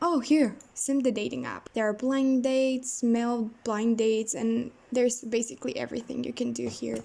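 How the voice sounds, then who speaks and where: A woman speaks in a high pitch with a non-native accent. Her intonation stays fairly even. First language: not English. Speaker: gaming YouTuber. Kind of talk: gameplay commentary. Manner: casual, halting with self-corrections.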